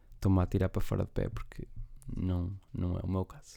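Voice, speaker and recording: This man has a dark, mellow tone and a European Portuguese accent, recorded very cleanly against a silent background. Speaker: podcast host. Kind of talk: casual monologue. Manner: rambling, halting.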